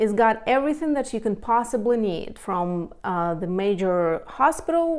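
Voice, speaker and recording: Her intonation lively, a woman talks at a fairly slow pace over a quiet background. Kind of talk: casual informative talk to camera. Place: home room. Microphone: lapel.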